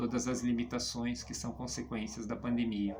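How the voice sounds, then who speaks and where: A man speaks at a medium pitch. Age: 50s. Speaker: comic book artist. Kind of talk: personal portfolio presentation. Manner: hesitant, many fillers.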